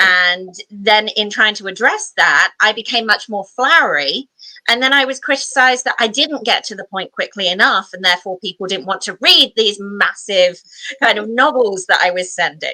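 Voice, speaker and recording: With an English accent, a woman speaks at a fairly high pitch with lively intonation and a bright, sharp tone, in a dry, close sound with no echo. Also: moderate pace. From England. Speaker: podcast host, talent strategist. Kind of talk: podcast interview.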